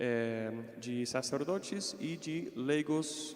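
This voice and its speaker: An American-accented man speaks at a medium pitch with ordinary pitch variation. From United States. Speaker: consecrated layman, seminarian. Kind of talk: religious reflection talk. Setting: parish hall with live audience, livestreamed.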